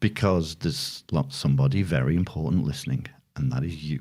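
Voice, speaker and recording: Very wide pitch swings in a northern English accent, on a very clean recording with a silent background. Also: man. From northern England. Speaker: podcast co-host. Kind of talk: casual chat.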